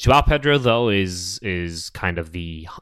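Very clean, the recording has a silent background. The voice carries lively intonation. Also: man. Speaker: podcast co-host. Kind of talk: casual chat.

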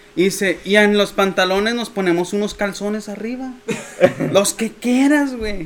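This man has a high pitch and a Mexican accent, with ordinary pitch variation. He talks at a moderate pace against noticeable background noise. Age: 20s. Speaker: musician. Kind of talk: casual chat.

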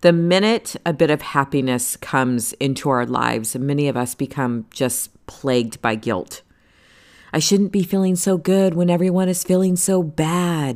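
The delivery is animated, with lively intonation at a fairly slow pace, on a very clean recording with a silent background. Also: woman. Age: 40s. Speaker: podcast host. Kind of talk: motivational monologue.

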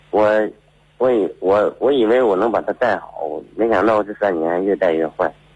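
Speaking at a moderate pace, a man has an unremarkable speaking voice with a fairly low pitch and ordinary pitch variation. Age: 30s. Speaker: caller, car driver. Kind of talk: telling his story on air. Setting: phone call.

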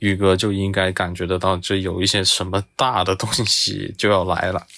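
A man talks at a moderate pace in a very deep, low voice with a flat, monotone delivery. The recording is very clean, with a silent background. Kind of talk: storytelling.

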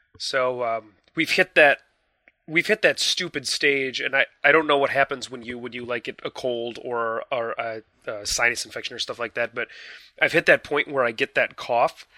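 With an American accent, a man speaks at a medium pitch and moderate pace, his tone bright and sharp with ordinary pitch variation, the sound dry and close with no echo. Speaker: video game podcast co-host. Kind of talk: casual chat. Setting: video call.

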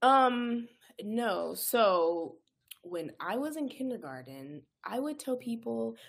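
The recording is very clean, with a silent background. A woman with an American accent speaks high, her pitch swinging very widely. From California, Inland Empire. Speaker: pharmacist and anxiety coach. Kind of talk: casual interview chat.

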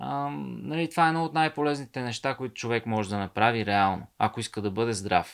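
The speaker swings very widely in pitch at a fairly quick pace with hardly any pauses. The recording is very clean, with a silent background. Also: man, medium pitch for a man. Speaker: author and ultramarathon runner. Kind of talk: casual chat.

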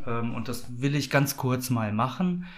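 A man's very slow delivery, fairly even in intonation, with audible room echo. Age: 40s. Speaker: project coordinator of a queer community café. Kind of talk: interview. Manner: hesitant, many filler sounds.

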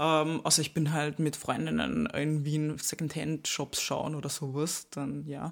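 A woman talks at a fairly slow pace with hardly any pauses, captured in a very clean recording against a silent background. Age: 20s. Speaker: YouTuber and influencer. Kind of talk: casual interview. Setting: recorded at a retreat.

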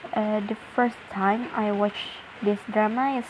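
A woman's fairly high-pitched voice at a very slow pace, with fairly even intonation and noticeable background noise. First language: Indonesian. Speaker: podcaster. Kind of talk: casual monologue. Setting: at home. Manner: halting.

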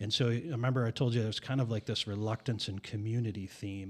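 In a very clean recording with a silent background, a man with an unremarkable speaking voice talks at medium pitch and a fairly quick pace. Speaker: pastor.

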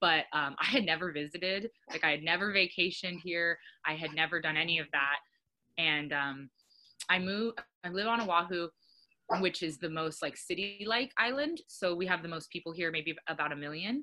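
A woman with an American accent speaks at a moderate pace in an unremarkable speaking voice. Her pitch sits fairly low, with ordinary variation. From Arizona. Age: 20s. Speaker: marine conservation worker and social media creator. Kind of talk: casual interview.

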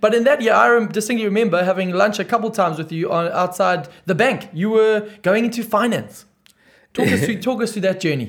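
Fairly quick in pace, a man speaks with a high pitch and ordinary pitch variation. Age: 30s. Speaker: podcast host. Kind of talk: casual interview chat.

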